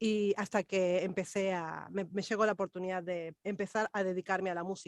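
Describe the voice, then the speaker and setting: A woman with an unremarkable speaking voice and medium pitch speaks at a moderate pace in a dry, close sound with no echo. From Argentina, Buenos Aires. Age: 40s. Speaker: vocal coach. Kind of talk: interview.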